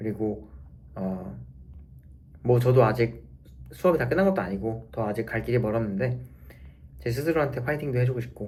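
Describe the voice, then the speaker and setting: Lively intonation and vocal fry mark this fairly quick delivery, broken by long, frequent pauses, with audible room echo around it. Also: man, medium pitch for a man. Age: 30s. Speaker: physiotherapy student vlogger. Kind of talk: casual vlog monologue. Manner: rambling, halting.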